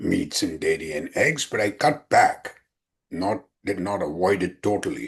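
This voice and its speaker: This man's somewhat breathy voice swings very widely in pitch as he talks at a moderate pace. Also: quiet background. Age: 70s. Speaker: physician and heart disease survivor athlete. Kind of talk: interview. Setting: podcast interview.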